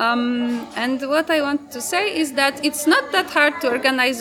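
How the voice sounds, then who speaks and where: A woman with a Polish accent at a moderate pace, over noticeable background noise. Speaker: feminist activist and event organizer. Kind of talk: interview. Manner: halting, many fillers.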